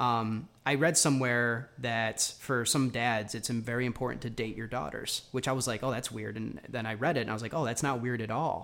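With an American accent and vocal fry, the speaker keeps a fairly even intonation and hardly any pauses. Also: man, medium pitch for a man, moderate pace. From New York. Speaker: podcast host. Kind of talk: casual interview chat.

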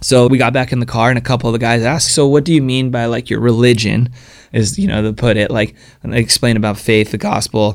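Talking at a fairly quick pace, a man with an American accent has an ordinary speaking voice at medium pitch with ordinary pitch variation. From Southern California (San Diego). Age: 30s. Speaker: pro action sports athlete. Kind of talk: interview conversation.

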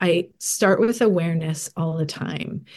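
This is a normal speaking voice with ordinary pitch variation. The pace is fairly slow. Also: woman. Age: 40s. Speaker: life coach and retreat leader. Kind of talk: casual chat.

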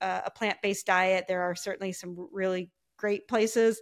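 A woman with an American accent speaks in a normal speaking voice at medium pitch. Her intonation is fairly even, and the recording is very clean with a silent background. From US Midwest, Ohio. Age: 50s. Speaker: podcast guest, fitness client. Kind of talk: casual interview chat.

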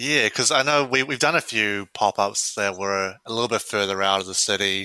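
A man with a New Zealand accent and a bright, sharp tone speaks at a moderate pace, the sound dry and close with no echo on a very clean recording with a silent background. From New Zealand, Wellington. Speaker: systems analyst running a ramen pop-up. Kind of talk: interview. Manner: hesitant, many fillers.

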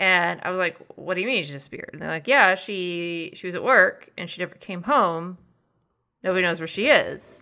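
With a bright, sharp tone and medium pitch, a woman speaks at a moderate pace, her loudness swinging widely while her pitch varies in an ordinary way, all in a very clean recording with a silent background. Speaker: podcast host. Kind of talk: casual chat.

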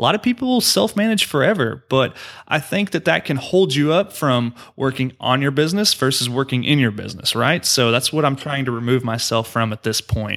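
A plain, everyday voice from a man at medium pitch, with lively intonation and an American accent. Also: fairly quick pace. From Oklahoma. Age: 20s. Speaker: real estate investor. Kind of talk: podcast interview.

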